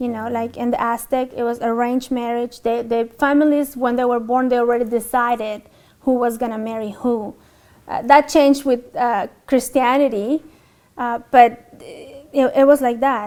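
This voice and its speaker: A woman's high-pitched, monotone, flat voice at a moderate pace. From Mexico. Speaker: convert to Islam. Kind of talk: interview testimony. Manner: halting, many fillers.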